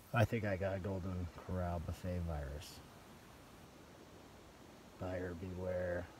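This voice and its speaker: A man speaks very slowly in a very deep, low voice that is somewhat breathy and weary in tone, with fairly even intonation. The sound is dry with no echo, though noticeable background noise is present. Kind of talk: casual vlog chat. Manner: low, weary voice of a sick man. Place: tent. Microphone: phone near.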